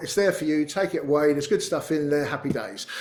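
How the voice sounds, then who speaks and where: With a British accent, a man speaks at a fairly high pitch with ordinary pitch variation. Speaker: company CEO giving a webinar talk. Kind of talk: webinar presentation with Q&A. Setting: webinar. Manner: casual, with fillers; fast.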